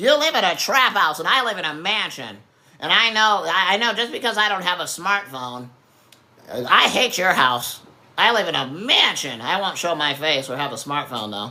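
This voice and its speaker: A put-on character voice comes at a middle pitch and a moderate pace. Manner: caricature of a political type, mocking.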